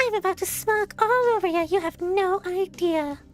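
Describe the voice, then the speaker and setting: An extremely high, put-on character voice moves at a moderate pace over clear background noise. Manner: smug, self-satisfied.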